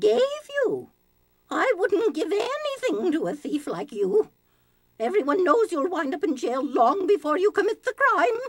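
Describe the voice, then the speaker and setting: Putting on a character voice, a woman speaks at a moderate pace in an extremely high pitch with very wide pitch swings. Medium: video game. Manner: flustered, haughty.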